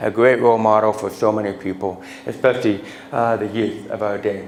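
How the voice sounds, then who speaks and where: Someone talks at a fairly quick pace with an American accent. The recording has audible room echo and noticeable background noise. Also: man. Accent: deaf speech. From Utah. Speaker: motivational speaker. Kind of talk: keynote speech. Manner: halting, repeats words.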